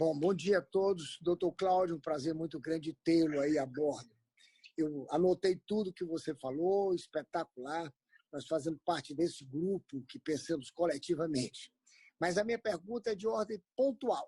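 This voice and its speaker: A man speaks at a high pitch with a dark, mellow tone and ordinary pitch variation. The sound is dry and close, with no echo. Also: moderate pace. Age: 70s. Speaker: businessman. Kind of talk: question in a webinar.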